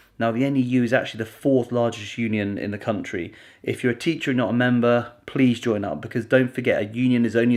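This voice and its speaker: A man speaks quietly at a very fast pace. His intonation stays fairly even. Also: hardly any pauses. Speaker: video blogger. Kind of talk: vlog to camera. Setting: at home.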